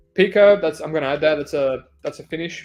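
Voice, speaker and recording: Fairly quick speech with music in the background. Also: man. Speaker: MMA betting podcast host. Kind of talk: solo podcast monologue. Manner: casual, loose delivery.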